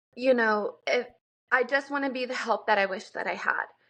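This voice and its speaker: At a moderate pace, a woman talks in a high voice. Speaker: podcast host, mother. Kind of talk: casual podcast conversation.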